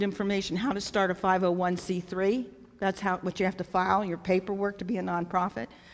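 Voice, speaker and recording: Speaking very fast with hardly any pauses, a woman keeps a medium pitch and fairly even intonation. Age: 60s. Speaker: nonprofit founder. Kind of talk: talk at a church event.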